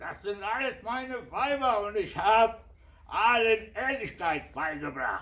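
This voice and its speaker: Speaking at a very slow pace, a man uses a high pitch with lively intonation and a bright, sharp tone. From Syria. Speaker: storyteller. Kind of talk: live storytelling performance of a fable.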